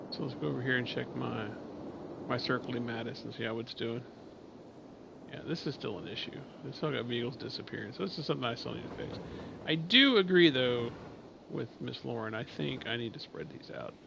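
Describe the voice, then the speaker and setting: With an American accent, a man speaks at a medium pitch and a fairly quick pace, yet leaves long, frequent pauses. His intonation is lively, and audible room echo surrounds him. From Oklahoma. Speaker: game streamer. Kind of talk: live gameplay stream chat.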